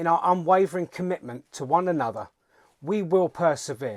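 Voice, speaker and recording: In a British accent, a man with a fairly high pitch speaks at a moderate pace in a very clean recording with a silent background and a dry, close sound with no echo. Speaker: political commentator. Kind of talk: political speech. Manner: calm, resolute; formal.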